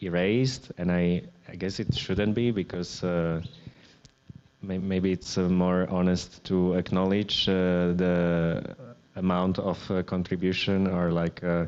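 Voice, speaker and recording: With a Slovak accent, a man speaks at a fairly slow pace in a very deep, low voice. His intonation is monotone and flat, and his loudness very even. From Slovakia. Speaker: artist. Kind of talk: public artist talk. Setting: gallery event with audience. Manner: hesitant, many fillers and restarts.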